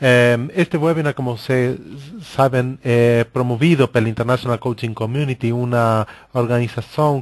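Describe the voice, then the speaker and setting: Against a quiet background, a man speaks at a medium pitch with a Spanish accent. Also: dry, close sound with no echo. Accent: Spanish-accented Portuguese (portunhol). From Argentina. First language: Spanish (speaking Portuguese). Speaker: coaching organization director, webinar host. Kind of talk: webinar presentation. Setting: online webinar. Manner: hesitant, many filler sounds.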